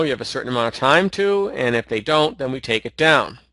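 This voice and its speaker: A man's voice has a bright, sharp tone. The sound is dry and close with no echo, and the background is quiet. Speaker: video hosting company founder. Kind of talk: interview on a call. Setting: call. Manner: hesitant, many fillers.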